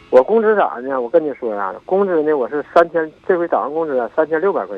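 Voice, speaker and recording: This man has a fairly high pitch and lively intonation. He speaks at a fairly quick pace. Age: 60s. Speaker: caller to advice radio show. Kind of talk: phone-in advice call. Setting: phone call. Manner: halting.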